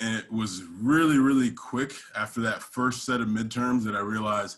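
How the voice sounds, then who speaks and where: This is a man with a plain, everyday voice. His pitch is medium. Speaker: strength and conditioning coach. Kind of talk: presentation talk.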